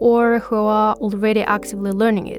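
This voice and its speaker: Speaking at a fairly quick pace, a woman uses a fairly high pitch and has a Kyrgyz accent. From Kyrgyzstan. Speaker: podcast host, language learner. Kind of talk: podcast monologue.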